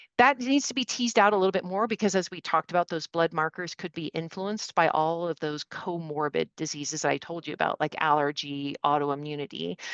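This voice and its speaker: A woman with a fairly low voice speaks at a fairly quick pace with lively intonation and hardly any pauses. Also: quiet background. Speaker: medical expert. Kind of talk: webinar presentation. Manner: fast.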